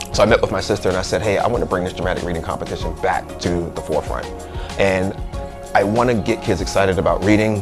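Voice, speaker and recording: A man talks at a very fast pace with an American accent. Music plays in the background. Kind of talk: interview answer.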